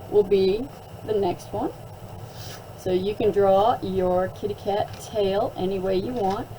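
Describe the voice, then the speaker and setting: Speaking at a very slow pace over noticeable background noise, a woman holds a medium pitch. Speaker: art teacher. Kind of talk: tutorial. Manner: animated.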